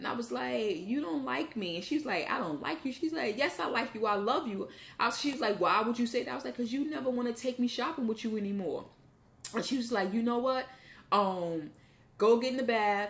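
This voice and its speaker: A woman's fairly high-pitched voice at a fairly quick pace, with lively intonation. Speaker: vlogger. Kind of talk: casual monologue. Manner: fast.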